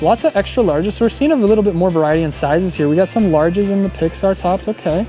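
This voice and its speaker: Music plays clearly in the background. The sound itself is dry, with no echo. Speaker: shopping vlogger. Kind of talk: casual vlog commentary. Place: shop. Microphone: phone near.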